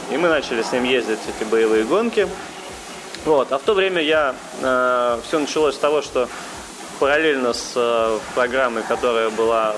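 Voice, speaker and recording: Over noticeable background noise, a man speaks at a moderate pace, his medium pitch showing ordinary variation. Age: 30s. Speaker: rally driver. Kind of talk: interview. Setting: cafe.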